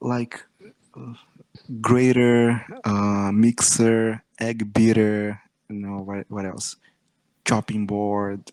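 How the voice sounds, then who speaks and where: A man with a slight Brazilian accent and a fairly low pitch speaks at a very slow pace with monotone, flat intonation and long, frequent pauses, in a dry, close sound with no echo. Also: big swings in loudness. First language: Portuguese. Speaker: English student, engineer. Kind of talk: online tutoring conversation. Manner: clear, crisp pronunciation.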